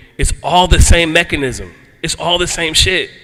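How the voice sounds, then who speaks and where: A man speaks in an animated tone. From US Northeast, Philadelphia. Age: 50s. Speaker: motorcyclist and antiracism speaker. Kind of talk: panel talk. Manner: casual, animated.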